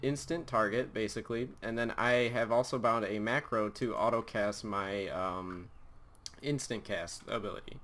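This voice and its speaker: A man speaks at a moderate pace with ordinary pitch variation and an unremarkable speaking voice. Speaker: gaming youtuber. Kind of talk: tutorial.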